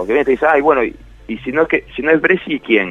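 A man talks at a fairly quick pace. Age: 30s. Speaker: writer and columnist. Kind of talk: radio interview.

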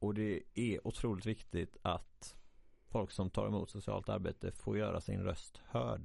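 A man talks at a fairly slow pace. His loudness stays very even throughout. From Sweden, Halland. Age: 20s. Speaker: social work student, podcast host. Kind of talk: casual chat. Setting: studio.

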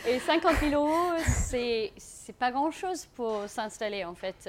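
In a very clean recording with a silent background, a woman's voice swings very widely in pitch. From South Africa. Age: 30s. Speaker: aspiring farmer, former advertising worker. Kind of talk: live talk to an audience. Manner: non-native, halting French.

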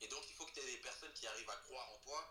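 A man is speaking. Room echo is audible. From France, Creuse (rural central France). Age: 20s. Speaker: actor and musician. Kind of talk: casual interview. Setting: online audio room.

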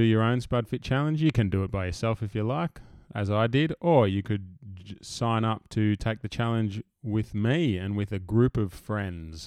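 In an ordinary speaking voice, a man talks at medium pitch and a moderate pace against a quiet background. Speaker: podcast host. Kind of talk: casual interview chat.

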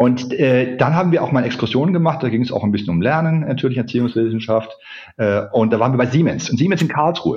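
Talking at a very fast pace, a man at medium pitch sounds somewhat breathy, with lively intonation and very even loudness. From Swabia, southern Germany (Ulm). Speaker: corporate learning expert. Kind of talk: interview.

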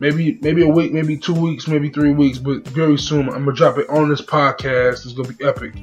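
With music in the background, a man talks fairly quickly at a fairly high pitch, monotone and flat, with hardly any pauses. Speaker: podcast host. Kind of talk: casual solo podcast chat. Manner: halting, repeats words.

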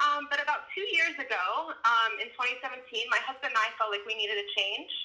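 A woman with an American accent speaks at a moderate pace in a raised, projected voice, her high pitch, bright, sharp tone and lively intonation standing out. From Baltimore, Maryland. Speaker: climate justice organizer. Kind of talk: interview.

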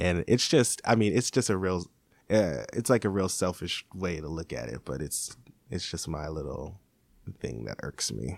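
On a very clean recording with a silent background, a man with a very deep, low pitch and vocal fry talks at a moderate pace, his pitch swinging very widely. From Seattle. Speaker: hip-hop artist. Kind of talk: interview.

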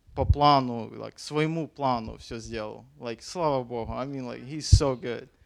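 A man talks with fairly even intonation. The recording is very clean, with a silent background. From Ukraine. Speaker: missionary. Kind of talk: testimony.

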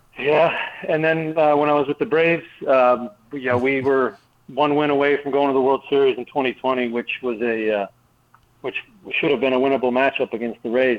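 Here is a man with an ordinary speaking voice. His medium pitch, fairly even intonation and moderate pace stay consistent. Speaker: retired baseball pitcher. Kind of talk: radio interview.

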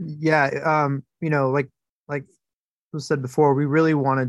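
Speaking at a moderate pace, a man comes through in a dry, close recording without any echo. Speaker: sound re-recording mixer. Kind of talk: panel Q&A interview. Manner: halting, many fillers.

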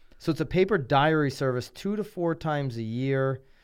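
With a Connecticut accent, a man talks at a fairly slow pace in a medium pitch, his intonation lively. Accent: Connecticut, general American. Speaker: podcast and radio host. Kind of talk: casual chat.

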